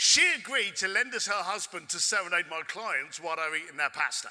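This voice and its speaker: A man with a London accent speaks at a moderate pace in a high voice, his intonation lively and his tone animated. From London, England. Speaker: keynote speaker. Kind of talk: storytelling keynote talk. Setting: stage with audience.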